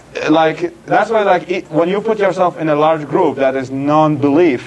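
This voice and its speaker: A fairly high-pitched man's voice against noticeable background noise. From Iraq. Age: 20s. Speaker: secular activist and writer. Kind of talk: Q&A talk. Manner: halting, many restarts.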